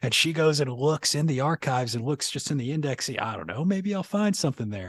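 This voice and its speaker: With an American accent, the speaker sounds somewhat breathy and uses lively intonation against a quiet background. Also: man, fairly high pitch for a man, fairly quick pace, dry, close sound with no echo. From New Orleans, Louisiana. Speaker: podcast host. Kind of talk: interview.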